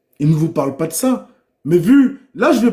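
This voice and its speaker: Loud and dark, mellow in tone, a man speaks with lively intonation. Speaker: livestreamer. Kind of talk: livestream monologue. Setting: live stream.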